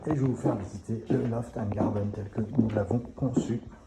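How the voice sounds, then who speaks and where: A man talks at a fairly slow pace in a fairly low pitch. Noticeable background noise runs underneath. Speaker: short-term rental concierge business owner. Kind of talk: live walkthrough tour. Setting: inside rental apartments. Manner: speaks softly; casual, filler-heavy.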